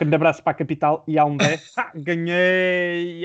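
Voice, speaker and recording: High-pitched male voice with monotone, flat intonation against a quiet background. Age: 20s. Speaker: podcast co-host, journalism student. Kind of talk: casual chat.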